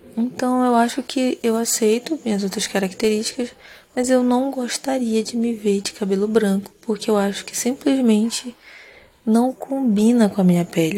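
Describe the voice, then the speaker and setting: Somewhat breathy with a dark, mellow tone, a woman speaks at a moderate pace and fairly high pitch with ordinary pitch variation. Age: 30s. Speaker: podcast host. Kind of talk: sleep podcast monologue. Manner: calm, relaxed.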